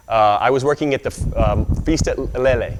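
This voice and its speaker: A man with an American accent, noticeable background noise behind him. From US South, Arkansas. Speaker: Hawaiian studies scholar and speaker. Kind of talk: speech to an audience. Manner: halting, many fillers.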